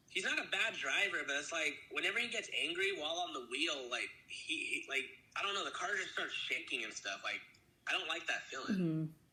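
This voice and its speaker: Noticeable background noise and audible room echo surround this recording. A man speaks at a fairly quick pace. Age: 20s. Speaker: small studio founder. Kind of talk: casual interview. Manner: halting.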